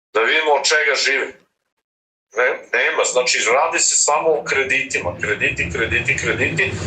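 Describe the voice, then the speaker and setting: There's audible room echo around a man's voice. He keeps a very even loudness at a moderate pace. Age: 70s. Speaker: retired diplomat, movement founder. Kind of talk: political interview. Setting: video call.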